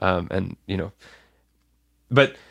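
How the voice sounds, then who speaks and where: A man's fairly low-pitched voice comes through in a very clean recording, the background silent. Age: 20s. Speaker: medical student. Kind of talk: interview testimony. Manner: halting.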